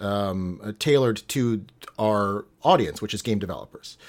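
In a very clean recording with a silent background, a man with an American accent uses an unremarkable speaking voice, fairly low in pitch with ordinary pitch variation, at a moderate pace. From New York. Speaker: tech company co-founder. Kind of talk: interview.

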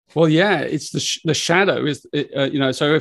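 The voice has vocal fry and moves at a fairly quick pace. The sound is dry and close, with no echo. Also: man. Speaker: author and spiritual teacher. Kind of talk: interview. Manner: gentle.

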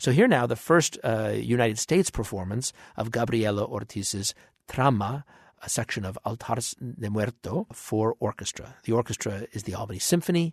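A man with a plain, everyday voice speaks at a medium pitch and a moderate pace, with ordinary pitch variation. The sound is dry and close with no echo, and the background is quiet. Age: 50s. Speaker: orchestra conductor giving radio commentary. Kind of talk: radio commentary on a concert broadcast.

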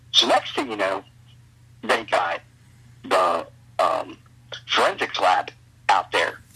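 Over noticeable background noise, a man delivers his words very slowly. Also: long, frequent pauses. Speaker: wrestling promoter and booker. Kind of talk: casual interview. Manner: halting, repetitive.

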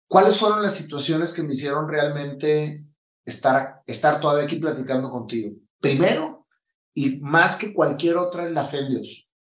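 Speaking at a moderate pace with ordinary pitch variation, a man with a northern Mexican accent has a fairly high pitch. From Mexico, Monterrey. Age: 50s. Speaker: entrepreneur and motivational speaker. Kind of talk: interview testimony. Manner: casual, slangy.

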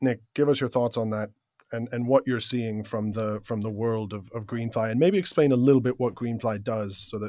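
Here is a man with a normal speaking voice, medium pitch, ordinary pitch variation and a moderate pace. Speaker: podcast host. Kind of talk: casual round-table discussion.

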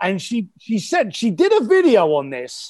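In a very clean recording with a silent background, a man talks with a London accent. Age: 50s. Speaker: author and entrepreneur. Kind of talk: podcast interview. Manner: animated.

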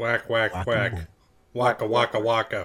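A man puts on a character voice at a medium pitch. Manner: goofy, comedic.

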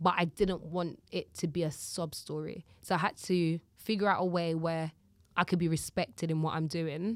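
On a very clean recording with a silent background, a woman with a fairly low voice talks at a moderate pace in a flat monotone. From Jamaica. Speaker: live host and presenter. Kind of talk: casual interview chat.

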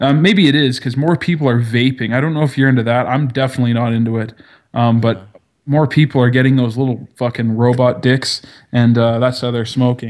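A man with a strong Canadian accent speaks at a fairly quick pace. His medium pitch carries fairly even intonation. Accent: Canadian, heavy. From Canada. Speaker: podcaster. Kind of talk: casual chat.

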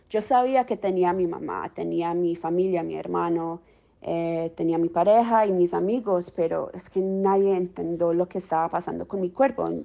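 Here a woman speaks with a fairly low pitch. Her pace is moderate and her pitch varies in an ordinary way. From Miami, Colombian-American family. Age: 20s. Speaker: social worker with long COVID. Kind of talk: interview testimony. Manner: halting, searching for words.

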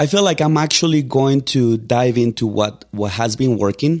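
A man with a Mexican accent talks at a fairly quick pace with ordinary pitch variation, on a very clean recording with a silent background. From Mexico. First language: Spanish. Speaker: real estate agent. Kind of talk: casual interview. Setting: studio. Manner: animated.

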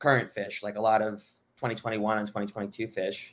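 In a very clean recording with a silent background, a man speaks in a plain, everyday voice at medium pitch with an American accent. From Miami, Florida. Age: 20s. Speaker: music fan and former brand ambassador. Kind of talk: casual chat.

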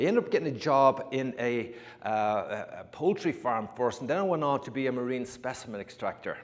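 A man with an Irish accent speaks at a fairly quick pace. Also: medium pitch for a man, ordinary pitch variation. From Ireland. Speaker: former fisherman. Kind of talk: testimony. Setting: church.

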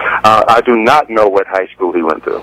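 A man at a medium pitch is heard with a dry, close sound with no echo, though noticeable background noise is present. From Decatur, Georgia, east of Atlanta. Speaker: college basketball coach. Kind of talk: radio phone interview.

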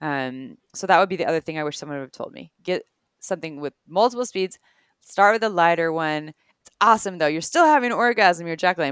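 A woman with an American accent at a fairly low pitch, fairly quick pace, lively intonation and big swings in loudness, in a dry, close sound with no echo. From US West Coast, Santa Cruz, California. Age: 30s. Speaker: sex educator and podcast co-host. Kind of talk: casual educational interview.

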